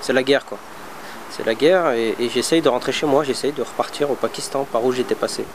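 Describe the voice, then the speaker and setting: A medium-pitched male voice at a fairly quick pace, fairly even in intonation, over noticeable background noise. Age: 30s. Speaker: former Guantanamo detainee, vocational trainer. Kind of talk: testimony. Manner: halting, many hesitations.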